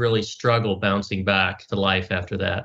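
At a moderate pace, a man with an American accent talks in a plain, everyday voice with fairly even intonation. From US South. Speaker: podcast host. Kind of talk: interview.

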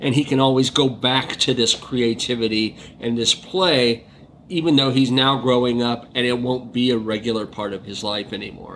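This man has an ordinary speaking voice and talks at a moderate pace. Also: medium pitch for a man. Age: 50s. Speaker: film critic. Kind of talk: casual film discussion.

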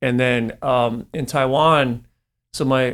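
The voice has an American accent, captured in a very clean recording with a silent background. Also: man. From Northern California, East Bay. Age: 40s. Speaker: marketing executive. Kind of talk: casual interview.

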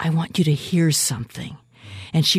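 The speaker is a woman. She talks with a Pacific Northwest accent. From US Pacific Northwest (West Seattle, Washington). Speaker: concert pianist and classical radio host. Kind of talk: casual interview chat. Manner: enthusiastic, animated.

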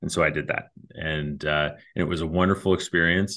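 A man with an American accent speaks at a fairly quick pace in a very deep, low voice, his intonation monotone and flat. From US Midwest (Ohio, Kentucky). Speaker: financial advisor. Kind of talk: casual interview.

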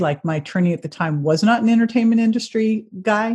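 A somewhat breathy woman with an American accent speaks with ordinary pitch variation against a quiet background. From Northern California (Berkeley). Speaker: health and fitness expert, author. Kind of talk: interview.

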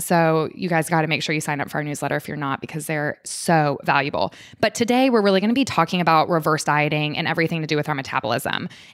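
The woman's voice sits fairly low in pitch, with ordinary pitch variation. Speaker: podcast host, functional medicine doctor. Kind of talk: casual interview chat, podcast. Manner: fast talker.

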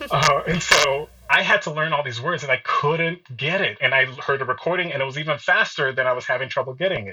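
At a fairly quick pace and with hardly any pauses, a man talks with an American accent over noticeable background noise. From Nigeria and US. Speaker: opera singer. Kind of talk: life story testimony.

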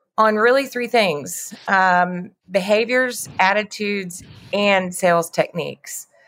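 Very slowly, a woman speaks with a Texan accent at a medium pitch with ordinary pitch variation in a very clean recording with a silent background. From West Texas, near Lubbock. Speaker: sales trainer. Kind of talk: interview.

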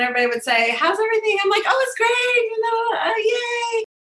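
A woman shouts at a very fast pace. Her pitch swings very widely. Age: 50s. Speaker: business coach. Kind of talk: interview. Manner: animated.

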